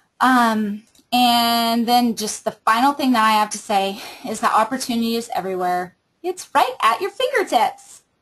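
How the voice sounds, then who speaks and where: Fairly high in pitch, a woman speaks in a plain, everyday voice. Her intonation is lively, and her pace is moderate. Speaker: team leader training direct sales recruiters. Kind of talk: training webinar.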